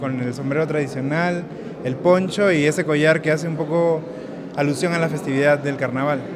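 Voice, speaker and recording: A man's fairly quick speech with ordinary pitch variation amid noticeable background noise. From Peru, Lima; Peru. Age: young. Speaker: photographer. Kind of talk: interview. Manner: halting. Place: hall. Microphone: phone near.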